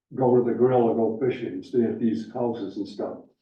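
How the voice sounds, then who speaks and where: Speaking at a moderate pace and a medium pitch, a man is heard with audible room echo. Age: 70s. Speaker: snowmobile club volunteer. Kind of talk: public meeting remarks.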